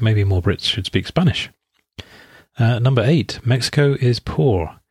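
In a very clean recording with a silent background and a dry, close sound with no echo, a man speaks somewhat breathily with an English accent. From England. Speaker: podcast host, English teacher and translator. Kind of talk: scripted narration. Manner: hesitant, many fillers.

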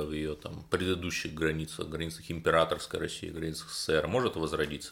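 Over a silent background on a very clean recording, a man speaks at a moderate pace in a very deep, low pitch with monotone, flat intonation. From Cherepovets, northwest Russia. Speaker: radio host and political journalist. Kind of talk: radio interview.

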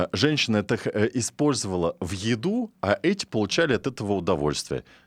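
Recorded very cleanly against a silent background, a man speaks at a fairly quick pace in a fairly low voice. His pitch swings very widely, and the sound is dry and close with no echo. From Russian countryside. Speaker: radio host. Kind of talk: talk radio discussion. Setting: studio.

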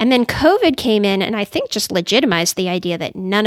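This woman speaks with a Californian accent. Her intonation is lively. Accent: Californian American English. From California, Silicon Valley. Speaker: psychologist. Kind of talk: interview.

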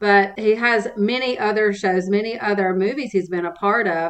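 At a moderate pace, a woman with an ordinary speaking voice talks at medium pitch with fairly even intonation. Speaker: nonprofit development director and podcast host. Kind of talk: interview.

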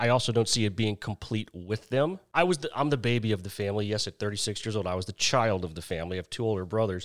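A man at a very fast pace with hardly any pauses, on a very clean recording with a silent background. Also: ordinary pitch variation. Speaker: podcast guest on dating. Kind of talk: casual chat. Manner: funny, good speaker once warmed up.

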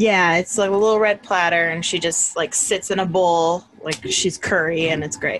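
With an unremarkable speaking voice, a woman talks at a moderate pace with fairly even intonation and hardly any pauses. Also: fairly low pitch for a woman. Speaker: co-host comedian. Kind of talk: casual chat. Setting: video call.

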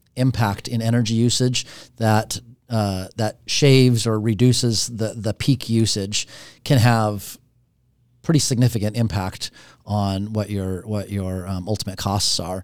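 A man has a plain, everyday voice at medium pitch with ordinary pitch variation. He speaks at a fairly slow pace on a very clean recording with a silent background. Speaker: podcast host. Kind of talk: interview.

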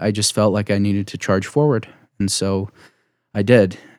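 Speaking in a normal speaking voice with an American accent, a man talks fairly low and at a moderate pace on a very clean recording with a silent background. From Utah County, US. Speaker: future missionary. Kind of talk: interview.

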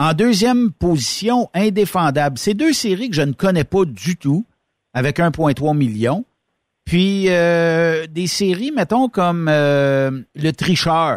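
A man speaks very slowly at a fairly high pitch, his pitch swinging very widely. The sound is dry and close with no echo, and the recording is very clean over a silent background. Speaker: radio host. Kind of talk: casual chat.

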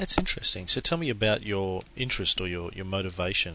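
This man has an Australian accent. He talks at a fairly quick pace. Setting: phone call.

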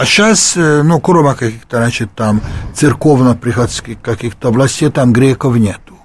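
A man's medium-pitched, somewhat breathy voice holds very even loudness with ordinary pitch variation. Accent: Hungarian. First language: Hungarian (speaking Russian). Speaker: sociologist and economist. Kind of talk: radio interview. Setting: studio. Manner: halting.

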